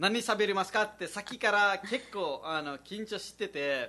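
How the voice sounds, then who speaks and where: A man speaks with a Nepali accent and a bright, sharp tone. His pitch shows ordinary variation. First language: Nepali (speaking Japanese). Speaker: radio host and comedian. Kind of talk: casual radio chat.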